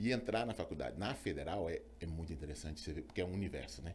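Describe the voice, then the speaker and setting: A man's voice with vocal fry. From Brazil, Belo Horizonte (Minas Gerais). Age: 50s. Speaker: physician, obstetrician. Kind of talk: interview, personal story. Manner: hesitant, many fillers.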